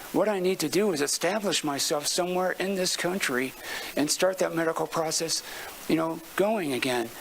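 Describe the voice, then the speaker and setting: Moderate pace with noticeable background noise. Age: 60s. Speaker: public commenter. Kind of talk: public comment at city council meeting. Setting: city council meeting chamber. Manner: halting, repeating words.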